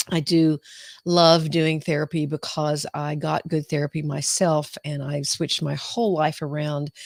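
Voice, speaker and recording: Speaking in a Southern US accent, a woman delivers her words at a moderate pace in a very deep, low voice with flat, monotone intonation. The recording is very clean, with a silent background. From US South. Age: 60s. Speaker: clinical psychologist. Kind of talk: live-stream talk. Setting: live video stream. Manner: hesitant, many fillers.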